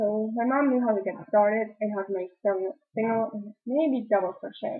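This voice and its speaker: With a slight German accent, a woman talks at a fairly quick pace, her medium pitch showing ordinary variation. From Germany. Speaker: knitting videocaster. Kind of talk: casual vlog talk. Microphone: poor camera, audio out of sync.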